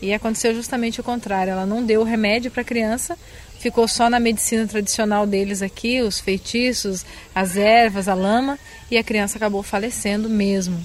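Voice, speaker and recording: A woman with a Brazilian accent at a fairly high pitch, speaking fairly quickly in a monotone, flat intonation. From southern Brazil. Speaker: missionary. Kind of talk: interview.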